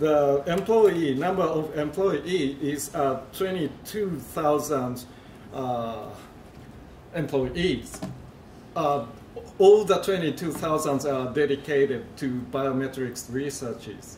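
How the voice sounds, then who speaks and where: A man with a Japanese accent and a fairly high pitch, very slow delivery, long frequent pauses, ordinary pitch variation, audible room echo and noticeable background noise. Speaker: industry researcher presenting at a conference. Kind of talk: conference presentation. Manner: halting, many fillers.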